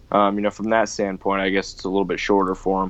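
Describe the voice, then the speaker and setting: A man talks at a fairly quick pace with an American accent. His intonation is monotone and flat. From US Northeast, New York area. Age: young. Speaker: racing driver. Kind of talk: interview. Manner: casual, filler-heavy.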